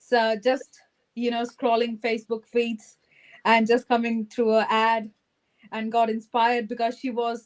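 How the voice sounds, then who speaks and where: Flat and monotone, a woman's fairly high voice moves at a fairly slow pace. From India. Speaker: online business entrepreneur. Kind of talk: interview.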